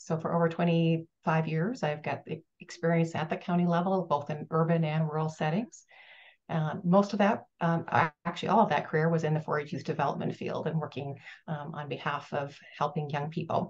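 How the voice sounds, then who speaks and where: In an American accent, a woman with a somewhat breathy, fairly low-pitched voice talks at a fairly quick pace with fairly even intonation. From US Midwest, Minnesota. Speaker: retired extension professor, consultant. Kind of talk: self-introduction. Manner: hesitant, many fillers.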